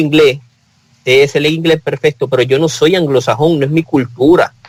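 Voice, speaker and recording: A man's fairly high-pitched voice with fairly even intonation, dry and close with no echo. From Puerto Rico. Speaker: talk show panelist. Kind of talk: casual panel discussion. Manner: halting, many repetitions.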